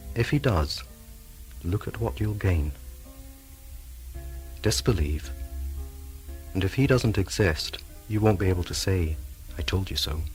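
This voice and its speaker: A man with a very deep, low pitch and very wide pitch swings, a calm, soothing tone, a fairly slow pace and long, frequent pauses, over music in the background. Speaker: hypnotherapist. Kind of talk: hypnotherapy tape introduction. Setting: cassette recording.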